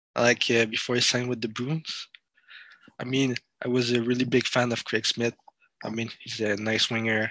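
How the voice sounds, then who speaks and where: This man's medium-pitched voice is monotone and flat at a moderate pace. The sound is dry and close with no echo. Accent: French. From France. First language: French. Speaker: sports content creator. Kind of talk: casual chat. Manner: halting.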